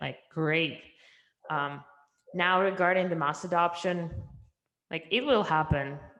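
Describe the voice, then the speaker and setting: With a Russian accent, a woman speaks in a fairly low pitch with ordinary pitch variation, leaving long, frequent pauses. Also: fairly slow pace. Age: young. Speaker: entrepreneur. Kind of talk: interview.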